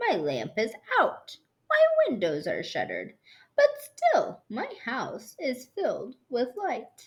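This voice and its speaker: The pace runs fairly slow. It is delivered in a put-on character voice. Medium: read story. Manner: grumpy, dismissive.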